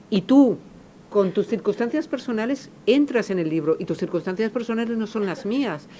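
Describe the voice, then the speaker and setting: Lively intonation marks this woman's fairly high voice. She keeps a moderate pace. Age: 50s. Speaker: novelist. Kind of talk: public talk Q&A. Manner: halting, many repetitions and fillers.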